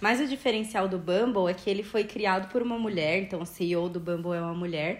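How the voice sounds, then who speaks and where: An unremarkable speaking voice moves at a fairly quick pace with hardly any pauses and ordinary pitch variation. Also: woman, medium pitch for a woman. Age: 20s. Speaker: podcast host. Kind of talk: casual chat.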